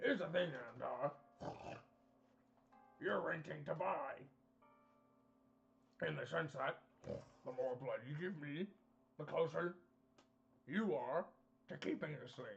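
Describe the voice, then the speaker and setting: In a put-on character voice that sounds raspy, the speaker goes at a fairly slow pace with long, frequent pauses. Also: man, fairly high pitch for a man. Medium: actual play. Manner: glib, salesmanlike, chummy.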